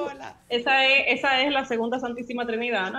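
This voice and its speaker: A woman with a Dominican accent speaks at a moderate pace over light background noise. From Dominican Republic. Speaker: musicologist; guest. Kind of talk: casual radio interview. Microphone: video call.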